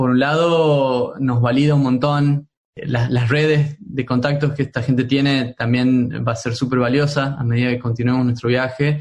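A man with a medium pitch at a moderate pace, monotone, flat intonation, very even loudness and hardly any pauses. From Argentina, Tucumán. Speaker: tech entrepreneur. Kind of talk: interview. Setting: remote call. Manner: halting, many fillers.

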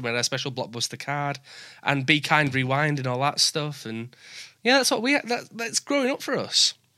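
A man with a northern English accent, fairly high pitch, a bright, sharp tone, lively intonation and a fairly quick pace. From northern England. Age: 20s. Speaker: podcast host. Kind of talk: casual interview chat. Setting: remote call.

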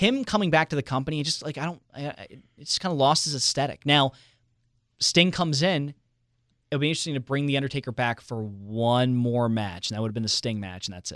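Lively intonation and big swings in loudness at a fairly quick pace, on a very clean recording with a silent background. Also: man, fairly high pitch for a man. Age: 20s. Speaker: radio personality. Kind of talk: casual chat.

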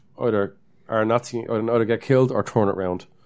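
On a very clean recording with a silent background, a man with an Irish accent speaks fairly quickly at a medium pitch in a dark, mellow tone. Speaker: podcast co-host. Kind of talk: casual chat.

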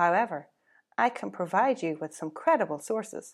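In a put-on, robotic character voice, a woman of medium pitch speaks at a moderate pace on a very clean recording with a silent background.

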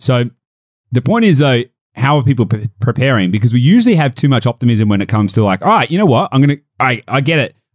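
A man with an Australian accent talks at a very fast pace, with a medium pitch, lively intonation and very even loudness, in a dry, close sound with no echo. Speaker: property and business podcast host. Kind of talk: casual chat.

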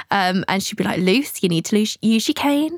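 A woman's somewhat breathy, medium-pitched voice in an English accent, fairly quick and with very wide pitch swings. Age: 20s. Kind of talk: casual interview chat. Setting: in person studio.

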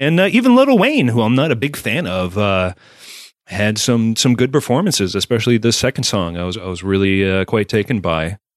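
Heard on a very clean recording with a silent background, a man uses an ordinary speaking voice at a medium pitch, talking fairly quickly with lively intonation. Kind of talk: casual chat. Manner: irreverent, salty.

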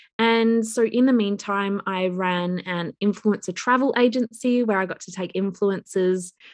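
A woman speaks in an Australian accent. The background is quiet. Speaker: business coach and entrepreneur. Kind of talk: interview podcast.

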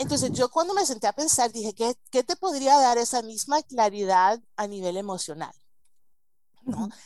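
Very wide pitch swings run through a woman's voice, which has a dark, mellow tone. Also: fairly high pitch for a woman, moderate pace. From United States. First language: English (speaking Spanish). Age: 40s. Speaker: marriage coach. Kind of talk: interview.

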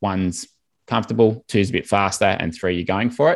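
This man has an Australian accent and ordinary pitch variation. The recording is very clean, with a silent background. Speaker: swim coach. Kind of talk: interview, coaching advice.

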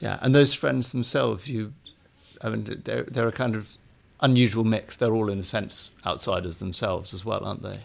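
This man has a normal speaking voice, with a fairly low pitch and ordinary pitch variation. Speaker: podcast host and literary editor. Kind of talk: interview.

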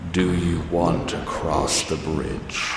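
A man's put-on character voice, with loud background noise and clear echo. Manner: eerie, creepy.

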